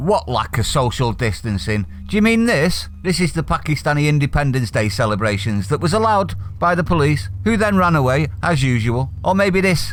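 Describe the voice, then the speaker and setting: A man with a Manchester accent speaks at a moderate pace in a fairly high pitch, his voice swinging very widely in pitch over noticeable background noise. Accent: Mancunian. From Manchester, northern England. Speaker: political commentary youtuber. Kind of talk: opinion rant reading from an article. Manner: animated.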